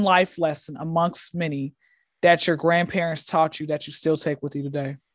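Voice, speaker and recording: Recorded very cleanly with a silent background and a dry, close sound with no echo, a woman speaks in an animated tone at a fairly low pitch. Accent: Southern US. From US South. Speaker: comedian. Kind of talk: casual chat.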